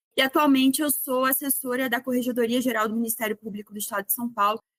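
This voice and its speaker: A woman with a Rio de Janeiro accent, high-pitched and very fast, in a monotone, flat delivery with a dry, close sound and no echo. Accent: carioca. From Rio de Janeiro, Brazil. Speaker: public prosecutor. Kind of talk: interview.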